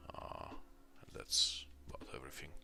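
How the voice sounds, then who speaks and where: A soft-spoken man over music in the background. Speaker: indie game developer streamer. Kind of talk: live stream tutorial commentary. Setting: home studio, late at night. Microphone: echo at start.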